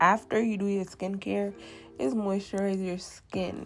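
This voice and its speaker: This woman has a normal speaking voice. Her pitch is medium, with ordinary variation. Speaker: beauty vlogger. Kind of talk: tutorial. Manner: casual.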